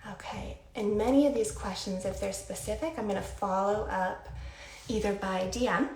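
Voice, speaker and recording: Her moderately paced speech comes through noticeable background noise, with audible echo from the room around this woman. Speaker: skincare brand founder hosting a livestream. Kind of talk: casual livestream talk.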